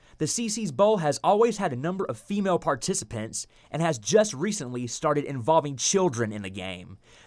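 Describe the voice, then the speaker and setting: A man talks at a fairly high pitch with very wide pitch swings. The recording is very clean, the background silent. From Mississippi, USA. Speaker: television news reporter. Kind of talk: TV news reporter package narration.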